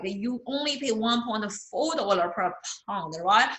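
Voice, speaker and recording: A woman with a non-native accent talks at a moderate pace in a fairly high voice with lively intonation. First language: not English. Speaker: accounting instructor. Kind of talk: lecture. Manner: repetitive, hesitant with fillers.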